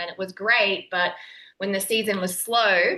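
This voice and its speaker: A woman with an Australian accent speaks at a moderate pace and medium pitch, with ordinary pitch variation and a bright, sharp tone over a quiet background. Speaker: nutritionist and online entrepreneur. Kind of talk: podcast interview.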